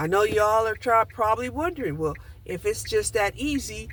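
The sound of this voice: Fairly bright in tone, a woman speaks at a fairly slow pace with a medium pitch and lively intonation.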